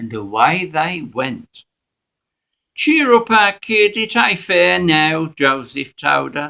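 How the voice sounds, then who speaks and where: With a bright, sharp tone and lively intonation, a man speaks at a very slow pace. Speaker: church member. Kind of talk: reading aloud of a dialect story. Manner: broad dialect storytelling.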